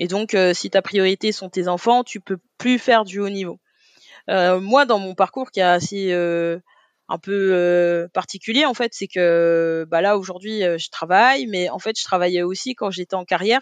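Against a quiet background, a woman has an unremarkable speaking voice at medium pitch, talking at a fairly slow pace with ordinary pitch variation in a dry, close sound with no echo. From Paris, 18th arrondissement. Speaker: olympic athlete and deputy mayor. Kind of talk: interview conversation.

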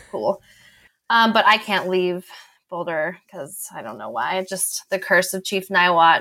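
In a very clean recording with a silent background, a woman with an American accent speaks at a fairly slow pace in a bright, sharp tone, with vocal fry and big swings in loudness. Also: medium pitch for a woman, ordinary pitch variation. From Colorado, US. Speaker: marathon runner. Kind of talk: interview.

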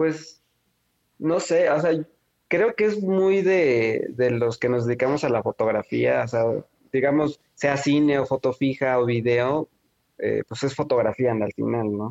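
With a Mexican accent, a man speaks very slowly in a fairly high voice, using lively intonation and long, frequent pauses, in a dry, close sound with no echo. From Mexico, Oaxaca city. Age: young. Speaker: filmmaker. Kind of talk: interview. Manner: halting, many fillers and repetitions.

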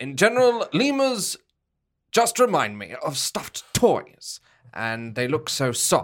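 Speaking very slowly, a high-pitched man swings widely in pitch and makes big swings in loudness. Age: 30s. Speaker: improviser and comedian. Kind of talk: casual chat.

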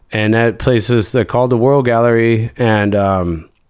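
Fairly even intonation marks this man's ordinary speaking voice, with an American accent. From US Midwest, Missouri. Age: 40s. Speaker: art collective co-founder and podcast co-host. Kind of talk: casual chat. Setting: studio.

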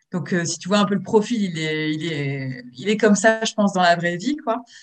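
A woman of medium pitch, somewhat breathy, at a moderate pace. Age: 30s. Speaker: book influencer. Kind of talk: interview.

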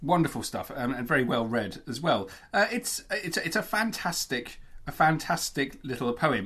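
This man talks in an ordinary speaking voice with a fairly high pitch. His intonation is lively. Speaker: podcast co-host.

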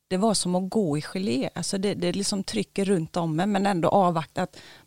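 An unremarkable speaking voice belongs to a woman at medium pitch with fairly even intonation and a moderate pace. The recording is very clean with a silent background, and the sound is dry and close with no echo. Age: 40s. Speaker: dental hygienist, overnight ghost-hunt participant. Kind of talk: casual interview.

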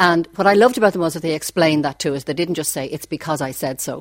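A woman with a Dublin accent speaks very fast, with ordinary pitch variation and a dry, close sound that has no echo. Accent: Dublin Irish. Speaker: radio broadcaster. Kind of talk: reminiscing interview.

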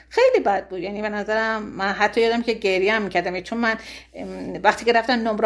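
A woman speaks at a very fast pace in a fairly high voice. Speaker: former expelled history student. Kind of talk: interview testimony.

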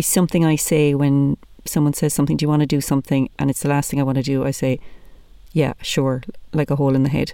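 On a very clean recording with a silent background, a woman with an Irish accent speaks at a fairly quick pace in a very deep, low pitch with a dark, mellow tone. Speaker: podcast host, comedian. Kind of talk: casual chat.

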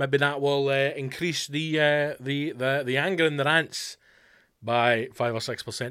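A man with a Scottish accent talks at a moderate pace, fairly high in pitch with fairly even intonation. His tone is bright and sharp on a very clean recording with a silent background. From West of Scotland. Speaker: comedian and podcast host. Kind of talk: casual solo chat. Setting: home studio.

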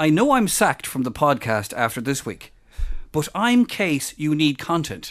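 In a very clean recording with a silent background, a man with an Irish accent speaks at a fairly slow pace with vocal fry and very wide pitch swings. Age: 40s. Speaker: podcast co-host. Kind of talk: casual chat.

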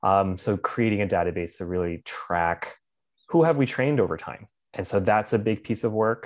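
A man with an American accent and an ordinary speaking voice talks at a moderate pace with a fairly low pitch and ordinary pitch variation against a quiet background. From Pennsylvania, Lancaster County. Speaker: political organizer. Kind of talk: casual interview chat.

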